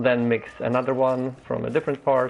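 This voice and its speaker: Here a man with a Polish accent speaks at medium pitch. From Poland. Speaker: gaming streamer. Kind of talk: live game stream commentary. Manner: halting, many fillers.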